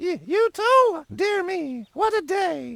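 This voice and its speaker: Putting on a squeaky character voice, a woman speaks at an extremely high pitch with very wide pitch swings. Her pace is very slow. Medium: video game. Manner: sniffy, clears throat.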